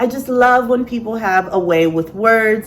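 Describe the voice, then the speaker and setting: With noticeable background noise behind her, a woman talks fairly slowly and with ordinary pitch variation. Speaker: sewist and poet. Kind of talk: casual talk to camera.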